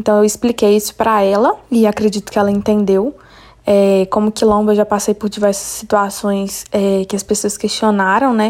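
This woman talks at a moderate pace with medium pitch. Her intonation is monotone and flat. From Belo Horizonte, Brazil. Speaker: podcast host. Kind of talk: interview and personal story.

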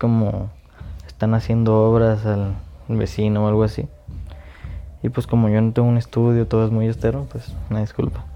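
Here is a man with a Mexican accent and a fairly low pitch. His pace is moderate and his intonation fairly even. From Mexico. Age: 20s. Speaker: podcast host. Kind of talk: casual monologue. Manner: halting.

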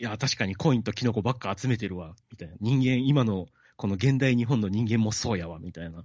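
This is a normal speaking voice with ordinary pitch variation. Its loudness swings widely. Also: man, fairly low pitch for a man. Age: 30s. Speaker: podcast host and amateur bassist. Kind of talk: casual chat about a book.

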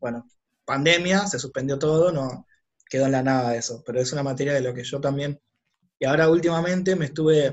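Pitched fairly high, a man's voice rises and falls in an ordinary way. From Argentina, Buenos Aires west zone (Ituzaingó). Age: 30s. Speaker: entrepreneur and business consultant. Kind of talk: casual interview conversation.

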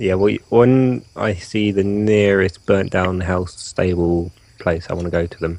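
Speaking at a fairly slow pace, a man with a British accent has a very deep, low pitch. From Britain. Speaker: tabletop role-playing game player. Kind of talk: casual role-playing game chat.

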